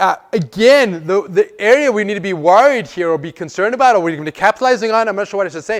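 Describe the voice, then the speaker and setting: His pace is fairly quick. The man's intonation is lively. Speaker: software architect giving a meetup talk. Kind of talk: presentation to a live audience. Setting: meetup room with audience. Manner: fast, hurried; halting, many fillers and repeats.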